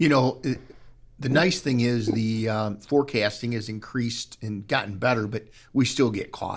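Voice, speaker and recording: At a moderate pace, a man with an unremarkable speaking voice talks with ordinary pitch variation. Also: medium pitch for a man. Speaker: podcast host. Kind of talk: casual interview. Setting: sailing club with live audience.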